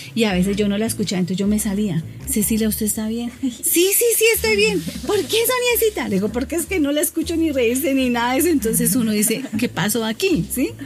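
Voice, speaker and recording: A woman's fairly high voice at a fairly quick pace, with very wide pitch swings and music in the background. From Bogotá, Colombia. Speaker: shopkeeper. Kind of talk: interview.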